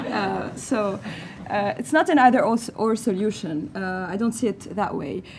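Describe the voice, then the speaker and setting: A woman talks at a medium pitch. Noticeable background noise sits behind her. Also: lively intonation, moderate pace. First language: not English. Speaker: panelist, refugee advocate. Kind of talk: panel debate. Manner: animated.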